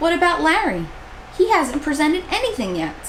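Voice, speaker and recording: A woman does a put-on character voice at a fairly quick pace. Clear background noise runs behind her. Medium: read story.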